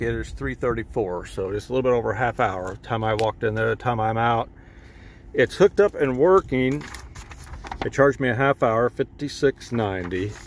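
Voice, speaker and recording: Over light background noise, a man with a normal speaking voice talks at a moderate pace and medium pitch, with ordinary pitch variation and a dry sound with no echo. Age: 50s. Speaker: auto mechanic. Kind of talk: tutorial. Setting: in a car. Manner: casual. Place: car. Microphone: phone near.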